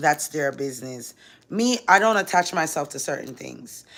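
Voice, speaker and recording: A woman's lively intonation at a fairly quick pace. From Jamaican-American, grew up partly in Jamaica. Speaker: social media personality. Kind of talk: livestream talk to viewers. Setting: live stream. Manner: animated.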